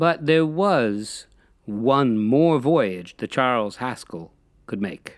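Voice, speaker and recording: A man speaks very slowly at a medium pitch, his tone dramatic. His pitch swings very widely. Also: very clean recording, silent background. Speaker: podcast host and storyteller. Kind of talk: ghost story telling, scripted-sounding narration of a maritime haunting. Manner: slow, hushed and ominous, dramatic with eerie suspense; measured, deliberate storyteller pacing.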